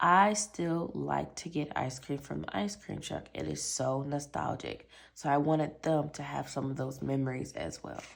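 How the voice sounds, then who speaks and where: With an American accent, a woman speaks at a moderate pace with hardly any pauses. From Michigan, US Midwest. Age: 20s. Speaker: budgeting YouTuber. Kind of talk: casual product overview vlog. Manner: animated.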